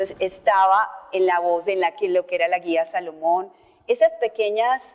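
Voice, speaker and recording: Pitch variation is ordinary. The speaker is a woman. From Colombia, Antioquia. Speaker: voice-over artist and journalist. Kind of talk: interview conversation.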